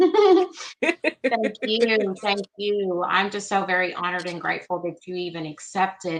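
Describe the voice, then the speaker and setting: Medium pitch, ordinary pitch variation, and an ordinary speaking voice from a woman. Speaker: Reiki practitioner. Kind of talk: live stream host talk.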